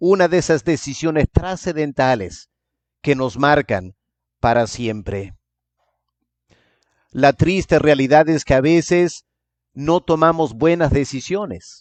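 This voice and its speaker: A man at a very slow pace and fairly high pitch, with lively intonation and long, frequent pauses. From England. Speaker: pastor. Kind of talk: sermon.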